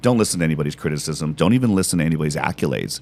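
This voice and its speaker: Animated and very fast, a man speaks at a very deep, low pitch with lively intonation. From Britain. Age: 50s. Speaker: business executive. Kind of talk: podcast interview.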